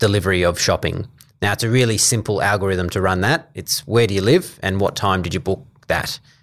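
In a very clean recording with a silent background, a man with an Australian accent speaks at a moderate pace, fairly low in pitch, with ordinary pitch variation. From Australia, New South Wales (Coffs Harbour). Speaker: health services procurement manager. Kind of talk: interview. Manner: hesitant fillers.

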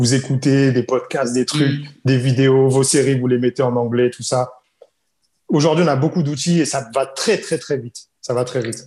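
With a dark, mellow, somewhat breathy voice at medium pitch, a man speaks at a moderate pace with fairly even intonation. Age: 30s. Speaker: English coach. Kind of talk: casual chat.

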